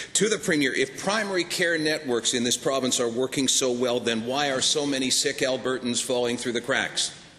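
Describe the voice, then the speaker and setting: A man with a medium pitch talks at a fairly quick pace, with hardly any pauses and very even loudness. His pitch varies in an ordinary way, and background noise is noticeable. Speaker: opposition legislator questioning the premier. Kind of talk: formal legislature question period.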